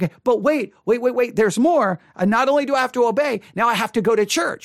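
The speaker delivers the words very fast in an animated tone. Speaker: podcast host and Bible teacher. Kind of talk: preacher in full flow, mocking sermon critique. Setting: studio. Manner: animated, rapid-fire repetition, sarcastic and emphatic.

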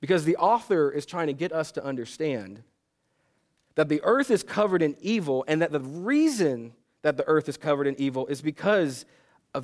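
A man with an unremarkable speaking voice speaks at a moderate pace with a fairly high pitch and lively intonation. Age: 30s. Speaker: pastor. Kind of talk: sermon.

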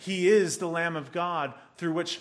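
An unremarkable speaking voice goes along at a moderate pace. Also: man. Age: 40s. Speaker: pastor. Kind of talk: sermon.

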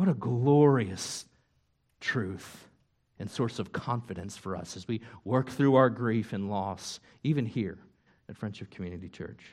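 A man's unremarkable speaking voice, medium in pitch, with lively intonation at a moderate pace against a quiet background. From upstate New York. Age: 40s. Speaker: pastor. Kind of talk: sermon. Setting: church.

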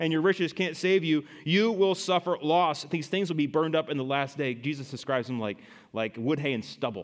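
An ordinary speaking voice, a man's, moves at a fairly quick pace with a fairly high pitch, lively intonation and big swings in loudness. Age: 30s. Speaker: pastor. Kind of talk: sermon. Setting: church.

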